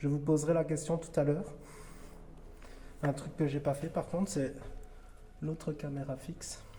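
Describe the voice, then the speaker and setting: Speaking at a moderate pace with long, frequent pauses, a man uses a fairly high pitch and a monotone, flat intonation. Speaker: paranormal investigator. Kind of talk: on-location ghost hunt narration. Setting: dark building at night. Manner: whispering; halting.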